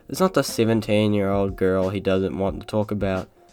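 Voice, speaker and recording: Over music in the background, the speech runs at a fairly quick pace. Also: man. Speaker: YouTube commentator. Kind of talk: commentary narration. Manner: slightly slurred.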